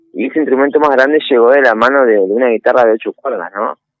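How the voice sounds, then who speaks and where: A man's medium-pitched voice at a very fast pace. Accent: Argentine Litoral. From Argentina, Entre Ríos (Concordia). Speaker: guitarist and composer. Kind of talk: interview.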